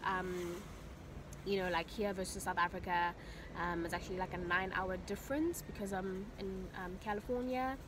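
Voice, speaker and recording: Noticeable background noise accompanies a woman at a moderate pace. Her pitch variation is ordinary, and the sound is dry with no echo. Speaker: vlogger. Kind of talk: casual vlog chat. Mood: excited, grateful. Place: car. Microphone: phone near.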